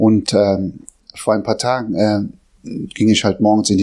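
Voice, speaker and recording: Fairly low in pitch, a man speaks at a moderate pace. His tone is dark and mellow. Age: 40s. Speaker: lay preacher. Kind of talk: sermon; testimony.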